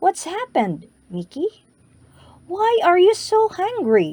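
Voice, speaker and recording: In a put-on character voice, a woman speaks at an extremely high pitch and a fairly slow pace, the sound dry and close with no echo. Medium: read story. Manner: warm, gentle.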